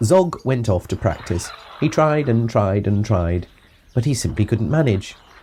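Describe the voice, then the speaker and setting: In a very clean recording with a silent background, a man speaks fairly slowly at a medium pitch, his dark, mellow, somewhat breathy tone held at very even loudness while his intonation stays lively. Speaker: father reading a children's book aloud. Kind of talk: rhyming narration, storybook narrator. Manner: expressive.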